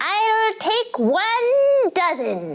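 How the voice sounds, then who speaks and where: A squeaky, female-sounding put-on character voice hits an extremely high pitch. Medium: solo performance. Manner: stubborn, indignant.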